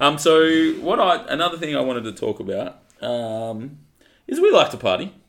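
A man talks at a moderate pace. He has an Australian accent. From Western Australia (Collie). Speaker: podcast co-host. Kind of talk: casual chat.

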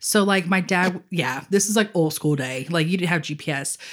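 A woman with a normal speaking voice, medium pitch and lively intonation. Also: very clean recording, silent background. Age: 30s. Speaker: podcast co-host. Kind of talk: casual chat.

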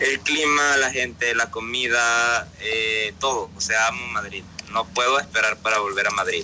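A man at medium pitch with fairly even intonation and very even loudness, over noticeable background noise. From Panama. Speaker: singer-songwriter. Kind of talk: interview. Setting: remote call from Panama City. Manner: halting.

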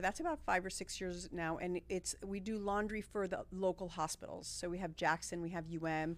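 A woman with an American accent speaks at a moderate pace in a medium pitch with ordinary pitch variation. Hers is a normal speaking voice. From Miami, Florida. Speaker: nonprofit staff member. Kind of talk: interview.

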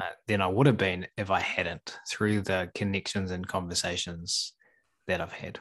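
A man with a New Zealand accent speaks at a moderate pace in a very deep, low pitch, his intonation fairly even. The recording is very clean with a silent background, and the sound is dry and close with no echo. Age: 30s. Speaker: animal trainer. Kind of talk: casual chat.

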